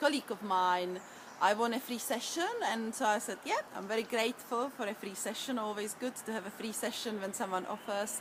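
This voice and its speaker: Over noticeable background noise, a woman talks at a moderate pace in a fairly high pitch. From Czech Republic. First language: Czech. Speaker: EFT practitioner. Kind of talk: tutorial.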